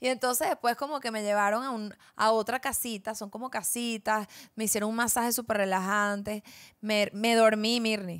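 On a very clean recording with a silent background, a woman with a Venezuelan accent speaks at a fairly high pitch with fairly even intonation. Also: moderate pace. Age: 20s. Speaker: podcast co-host. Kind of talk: casual chat.

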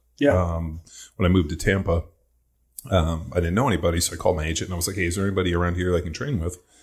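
Against a quiet background, a man with a very deep, low, somewhat breathy voice and an American accent talks at a very fast pace with ordinary pitch variation. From Southern California. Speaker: podcast guest. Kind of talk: casual chat. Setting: studio, in person. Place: studio. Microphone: studio mic.

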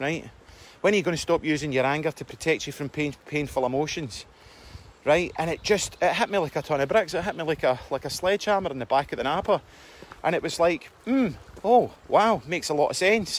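A man with a Scottish accent speaks at a fairly quick pace and fairly high pitch. His intonation is lively, in a dry sound with no echo. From Scotland. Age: 40s. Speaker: self-help vlogger. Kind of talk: casual monologue. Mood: earnest, reflective. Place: forest. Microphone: phone near.

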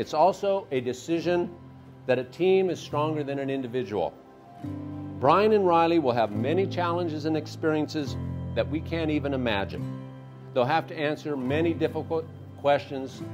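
A man at a moderate pace with long, frequent pauses, music in the background. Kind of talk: wedding toast speech. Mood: warm, humorous. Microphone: handheld.

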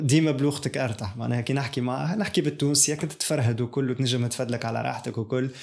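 A man talks at a fairly quick clip. His pitch moves in an ordinary way over a quiet background. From Tunisia. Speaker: YouTuber; tech youtuber. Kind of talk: casual vlog monologue; casual vlog chat. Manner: halting, many fillers. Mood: reflective, calm. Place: studio.

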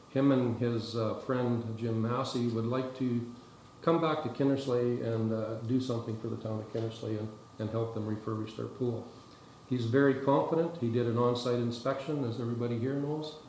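In a room with audible echo and light background noise, a man speaks at a moderate pace with fairly even intonation. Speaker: town councillor. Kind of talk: meeting proposal speech. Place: meeting room.

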